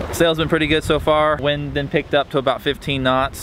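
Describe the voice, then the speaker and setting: There is noticeable background noise around a man's voice, though the sound is dry with no echo. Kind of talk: casual vlog chat. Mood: relaxed, laid-back. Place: boat. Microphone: phone near.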